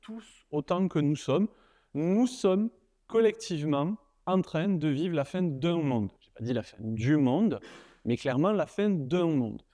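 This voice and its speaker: Spoken with a southern French accent at a fairly slow pace, the voice has a dark, mellow tone and very wide pitch swings, with a dry, close sound and no echo. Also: man, quiet background. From southern France, Nîmes. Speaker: university lecturer and researcher. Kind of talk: conference keynote talk. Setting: stage with audience. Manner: casual, humorous, many fillers.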